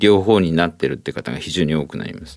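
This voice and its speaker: Vocal fry runs through this man's voice on a very clean recording with a silent background. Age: 60s. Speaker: ENT professor and allergy specialist. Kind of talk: expert interview. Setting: studio.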